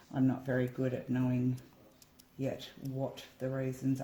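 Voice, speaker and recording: A woman speaks with an Australian accent and a very deep, low pitch. Her tone is dark and mellow. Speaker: acrylic pouring hobbyist. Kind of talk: casual tutorial vlog. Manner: casual, hesitant with many ums.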